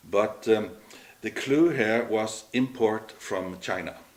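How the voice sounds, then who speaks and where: This man's fairly low voice carries a slight Norwegian accent. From Norway. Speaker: entrepreneur. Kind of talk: interview. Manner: halting.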